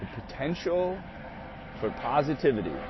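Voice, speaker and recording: The voice makes very wide pitch swings, and there is audible room echo. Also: man. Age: 30s. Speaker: livestreamer. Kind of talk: casual monologue. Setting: outdoors. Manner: halting.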